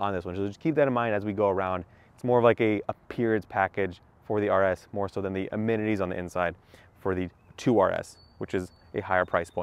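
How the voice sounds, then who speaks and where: A man's plain, everyday voice, fairly low in pitch, with fairly even intonation, a fairly quick pace and a dry sound with no echo. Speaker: car reviewer. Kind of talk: casual walkaround car review. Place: street. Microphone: phone near.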